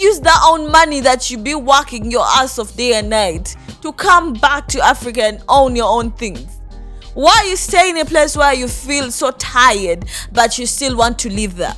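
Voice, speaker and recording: The voice moves at a moderate pace with very wide pitch swings and big swings in loudness. Music plays in the background. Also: woman, high pitch for a woman. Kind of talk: casual reaction commentary.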